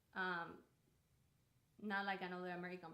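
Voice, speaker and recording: A woman speaks at a medium pitch with a bright, sharp tone. There is audible room echo around her voice. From Cuba. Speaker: artist. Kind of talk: casual livestream monologue. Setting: home art studio livestream. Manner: halting, with many fillers and repetitions.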